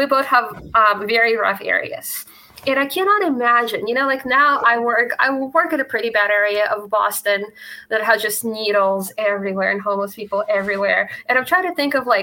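Talking at a fairly quick pace, a woman with a fairly high voice uses lively intonation over noticeable background noise. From Russia. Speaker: libertarian meetup organizer. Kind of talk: casual chat.

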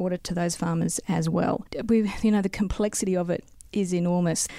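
A dark, mellow tone with an Australian accent and fairly even intonation. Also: woman. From South Australia. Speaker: local councillor and geologist. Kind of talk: interview.

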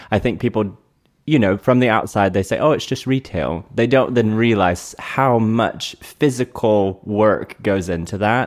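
A man with an American accent has a plain, everyday voice and a fairly low pitch. He speaks at a fairly slow pace with ordinary pitch variation. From North Carolina. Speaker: retail executive. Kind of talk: interview conversation. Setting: in person, Airstream trailer.

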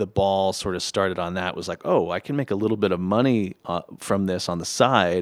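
A man speaks at a moderate pace in a normal speaking voice, his pitch fairly low and its variation ordinary, on a very clean recording with a silent background. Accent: American. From Los Angeles, US. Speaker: musician and score mixer. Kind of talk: casual chat. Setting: studio.

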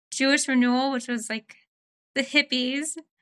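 In a raised, projected voice with an American accent, the speaker delivers a bright, sharp tone at a moderate pace with monotone, flat intonation, in a very clean, dry, close recording with a silent background and no echo. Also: woman. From US West Coast, Oregon. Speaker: volunteer coordinator. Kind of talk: casual chat.

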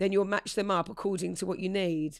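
In a very clean recording with a silent background, a woman uses an ordinary speaking voice with ordinary pitch variation. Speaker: podcast co-host. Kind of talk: casual chat.

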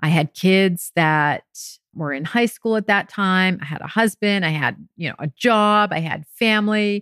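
A woman with an American accent speaks at a fairly slow pace in a plain, everyday voice, her medium pitch showing ordinary variation, on a very clean recording with a silent background and a dry, close sound with no echo. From France and US. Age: 50s. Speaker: podcast host and weight loss coach. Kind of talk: solo podcast monologue.

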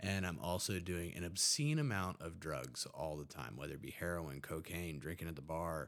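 A man with a very deep, low pitch and vocal fry talks at a moderate pace, with ordinary pitch variation and hardly any pauses. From West Virginia, Huntington. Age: 30s. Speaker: army veteran in addiction recovery. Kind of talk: casual interview, personal testimony.

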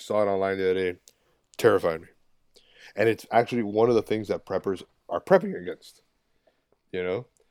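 A man speaks at a fairly quick pace, broken by long, frequent pauses. The recording is very clean, with a silent background. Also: dry, close sound with no echo. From Miami, Florida, Cuban-American. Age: 30s. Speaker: video journalist. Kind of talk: casual chat.

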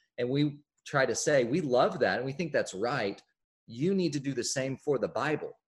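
A man with an American accent speaks at a moderate pace in a fairly high, somewhat breathy voice with ordinary pitch variation. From Oklahoma City, US. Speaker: author. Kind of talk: interview.

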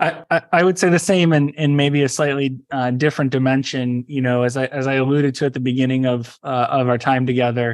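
Fairly quick and with hardly any pauses, a man speaks at medium pitch while his loudness stays very even. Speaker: tech company CEO. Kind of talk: podcast interview. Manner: halting, many fillers.

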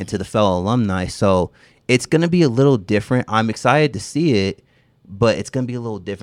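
A man with an American accent at a very fast pace, dry and close with no echo, on a very clean recording with a silent background. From Seattle, then Las Vegas from age 13. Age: 30s. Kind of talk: casual chat.

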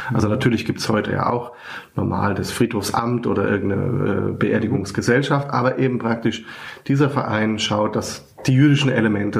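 A man's voice with audible room echo. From Germany, near Frankfurt. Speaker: rabbi. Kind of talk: interview. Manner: hesitant, many fillers.

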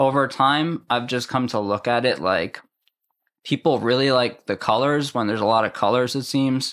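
A man with an American accent and a plain, everyday voice, medium pitch with ordinary variation, at a moderate pace on a very clean recording with a silent background. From Massachusetts. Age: 30s. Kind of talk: casual chat. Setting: in person.

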